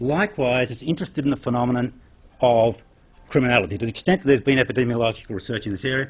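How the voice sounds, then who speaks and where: A man's somewhat breathy voice. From Australia. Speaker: psychologist and crime science academic. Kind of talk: lecture.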